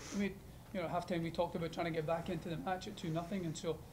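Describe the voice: Delivered at a fast pace, the voice shows little pitch movement. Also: man.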